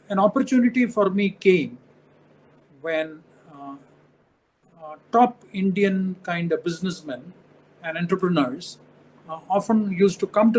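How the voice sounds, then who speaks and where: A man with a high-pitched voice talks at a fairly slow pace, with noticeable background noise behind him. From India. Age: 70s. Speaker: retired senior civil servant. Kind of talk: interview. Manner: halting, many fillers.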